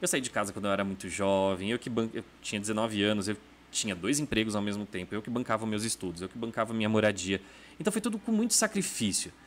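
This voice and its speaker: The speech goes at a very fast pace with fairly even intonation. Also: man, fairly low pitch for a man. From interior of São Paulo state. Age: 30s. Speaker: gossip journalist. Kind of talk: casual interview chat. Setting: studio.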